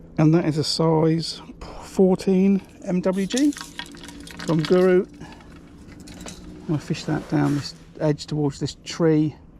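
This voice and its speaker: Noticeable background noise surrounds a man speaking at a very slow pace. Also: fairly high pitch for a man. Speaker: match angler streaming live. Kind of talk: live fishing commentary. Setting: outdoors on a riverbank. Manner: hesitant, many fillers.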